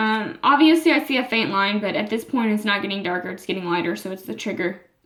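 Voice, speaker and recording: At a fairly quick pace, a woman with a fairly high pitch speaks with lively intonation. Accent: American. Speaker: vlogger. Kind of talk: personal vlog. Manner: halting, many fillers.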